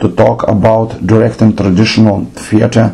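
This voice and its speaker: Over noticeable background noise, a man with a non-native accent speaks at a fairly low pitch. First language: not English. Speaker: theatre director. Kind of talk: lecture.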